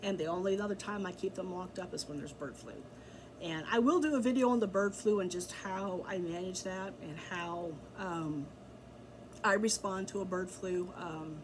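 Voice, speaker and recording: The recording has noticeable background noise and audible room echo, and the voice shows big swings in loudness. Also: woman, medium pitch for a woman, ordinary pitch variation, moderate pace. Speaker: backyard chicken keeper and blogger. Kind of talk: tutorial. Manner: casual, filler-heavy with ums.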